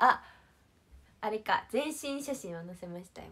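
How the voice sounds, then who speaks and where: A cheerful, animated tone at a moderate pace. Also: woman. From Shizuoka, Japan. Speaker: idol livestreamer. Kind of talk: casual livestream chat with viewers. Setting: online livestream. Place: empty room. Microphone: phone near.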